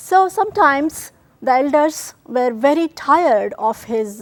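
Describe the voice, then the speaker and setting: A woman speaks with a Kannada accent. Her intonation is lively. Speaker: TV show host, spiritual storyteller. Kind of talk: devotional storytelling presentation.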